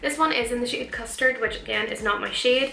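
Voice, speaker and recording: A woman's very fast speech with fairly even intonation, audible room echo and music in the background. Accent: Northern Irish. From Northern Ireland. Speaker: beauty vlogger. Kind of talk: chatty makeup tutorial. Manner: casual, chatty.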